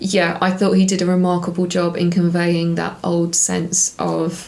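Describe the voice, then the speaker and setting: A woman with a British accent talks in a monotone, flat way at a fairly low pitch. Noticeable background noise and audible room echo fill the recording. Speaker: TV review YouTuber. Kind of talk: casual review monologue. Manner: calmer.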